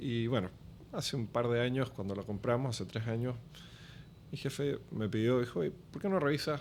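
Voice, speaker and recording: A man's mid-range voice moves at a moderate speed, its pitch varying in an ordinary way. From Chile. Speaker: business development executive. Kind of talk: podcast interview.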